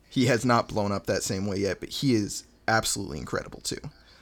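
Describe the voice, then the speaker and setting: With an American accent, a man talks in a plain, everyday voice at a fairly quick pace, medium in pitch with ordinary pitch variation, in a very clean recording with a silent background. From Montana, US. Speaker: rapper. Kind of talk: casual chat.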